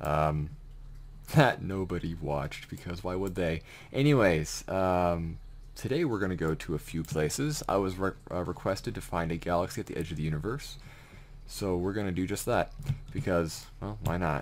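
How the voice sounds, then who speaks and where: Here a man speaks at a moderate pace with a very deep, low pitch. His intonation is lively. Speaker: gaming video creator and aspiring author. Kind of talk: casual gameplay commentary. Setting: home recording with keyboard and fish tank noise. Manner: rambling, stammering, excited. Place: home room.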